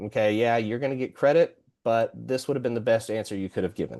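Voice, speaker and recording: The background is quiet as a man speaks. His tone is dark and mellow, his pitch medium. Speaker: product representative giving software demo. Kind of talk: tutorial. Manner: fast.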